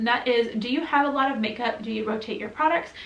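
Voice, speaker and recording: Over noticeable background noise, a woman with an American accent talks at a fairly quick pace with ordinary pitch variation. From US Midwest, Michigan. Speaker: vlogger. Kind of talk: casual Q&A vlog. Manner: chatty, many fillers.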